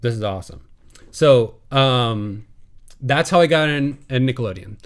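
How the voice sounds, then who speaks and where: A man with an American accent uses a normal speaking voice in a medium pitch with ordinary pitch variation. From US Midwest (Illinois, south of Chicago). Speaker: TV animation composer. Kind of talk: webinar Q&A talk. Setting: live online webinar. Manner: casual with many fillers.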